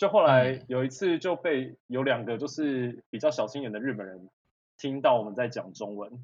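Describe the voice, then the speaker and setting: An unremarkable speaking voice from a man, medium in pitch, at a moderate pace, with ordinary pitch variation and big swings in loudness. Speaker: culinary school graduate who lived in Japan. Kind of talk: casual chat.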